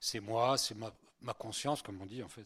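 Fairly even intonation in a man's fairly low voice. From Spain, then France from childhood. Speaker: priest. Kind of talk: lecture. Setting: conference hall with audience. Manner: conversational, hesitant with fillers.

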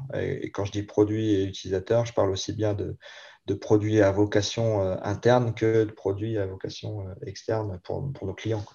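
Against a quiet background, a man speaks at a moderate pace in a fairly low, somewhat breathy voice with a dark, mellow tone and monotone, flat intonation. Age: 40s. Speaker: IT director. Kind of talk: interview. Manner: hesitant, many fillers and repetitions.

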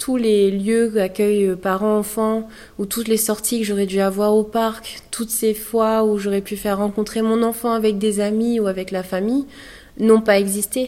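A woman's fairly high voice, fairly slow and flat, monotone in intonation. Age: 20s. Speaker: mother sharing postpartum depression story. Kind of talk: testimony. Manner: halting.

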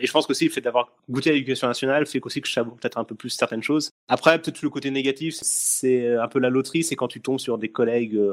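On a very clean recording with a silent background and a dry, close sound with no echo, a man of medium pitch races along at a very fast pace, with hardly any pauses and fairly even intonation. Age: 30s. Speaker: tax inspector, former teacher. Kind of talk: casual interview.

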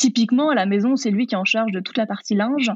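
A woman speaks at a fairly quick pace with a somewhat breathy, fairly high voice. Her pitch varies in an ordinary way. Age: 30s. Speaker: vegan cooking content creator and trainer. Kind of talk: interview.

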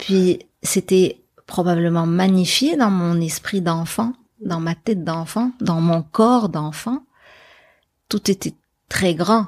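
A woman talks at a very slow pace with long, frequent pauses, her medium pitch varying in an ordinary way. The recording is very clean with a silent background, and the sound is dry and close with no echo. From Morocco, Casablanca. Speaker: journalist. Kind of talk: interview conversation. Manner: halting, frequent repetitions.

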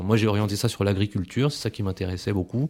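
Words come at a very fast pace. The recording is very clean, with a silent background. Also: man. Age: 30s. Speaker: ecologist. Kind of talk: interview testimony. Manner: halting, many repetitions.

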